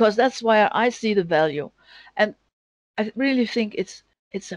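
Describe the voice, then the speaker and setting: Fairly slow speech in a Danish accent over a quiet background. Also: woman, dry, close sound with no echo. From Denmark. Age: 50s. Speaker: data analyst and sports bettor. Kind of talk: interview. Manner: halting.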